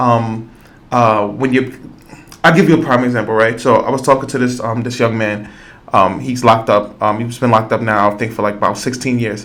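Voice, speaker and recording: A man's medium-pitched voice with fairly even intonation and audible room echo. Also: fairly quick pace. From New York, the Bronx. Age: 40s. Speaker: podcast host and school youth worker. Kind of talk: podcast interview conversation.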